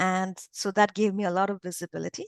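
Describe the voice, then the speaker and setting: A woman with a non-native accent speaks at a medium pitch and a moderate pace. The sound is dry and close with no echo, over a quiet background. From India. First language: not English. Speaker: English teacher, former professor. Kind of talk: interview testimony. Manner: hesitant, many fillers and restarts.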